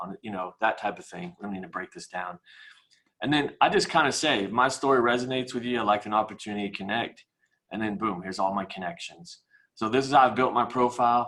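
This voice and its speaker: Talking at a very fast pace, a man uses a medium pitch, a bright, sharp tone and ordinary pitch variation. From US Midwest, Kansas City. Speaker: mortgage professional. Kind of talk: webinar presentation.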